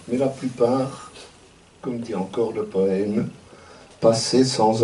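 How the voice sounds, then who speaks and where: Speaking at a very slow pace, a man with a medium pitch keeps his intonation fairly even over noticeable background noise. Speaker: retired university professor and activist. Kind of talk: commemorative speech.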